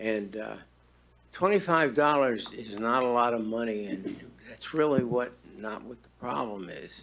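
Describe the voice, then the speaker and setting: A man's medium-pitched voice with big swings in loudness and audible room echo. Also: lively intonation, fairly slow pace. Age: 80s+. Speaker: retiree, public commenter. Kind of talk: public comment at council meeting. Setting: town board meeting. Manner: halting, many fillers.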